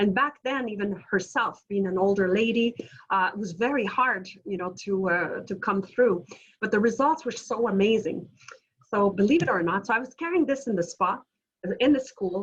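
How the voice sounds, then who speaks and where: A woman with a Quebec accent talks at a moderate pace, somewhat breathy, with ordinary pitch variation. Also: medium pitch for a woman. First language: French. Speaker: entrepreneur. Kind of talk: webinar presentation. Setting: video call. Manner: animated.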